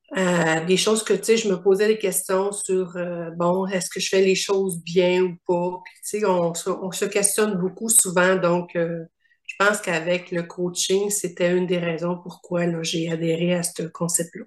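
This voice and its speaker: The delivery is fairly slow and monotone, with flat intonation. There are hardly any pauses. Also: woman, medium pitch for a woman. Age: 60s. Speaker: coaching client. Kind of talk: interview testimony.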